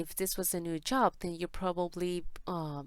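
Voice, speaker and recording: Lively intonation carries a woman's speech in a non-native accent at a fairly slow pace. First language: Spanish. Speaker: tarot reader. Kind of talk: tarot reading. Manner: halting.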